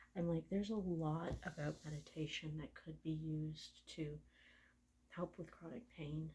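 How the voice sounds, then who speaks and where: A woman speaks with a very deep, low pitch in a dark, mellow, somewhat breathy tone. Her delivery is relaxed, fairly slow, and fairly even in intonation. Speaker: registered massage therapist. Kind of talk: soft-spoken ASMR massage talk. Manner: soft-spoken, relaxed.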